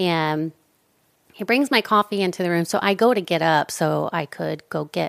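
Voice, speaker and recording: On a very clean recording with a silent background, the voice has ordinary pitch variation and a dry, close sound with no echo. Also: woman. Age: 40s. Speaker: podcast host. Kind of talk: casual chat. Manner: animated.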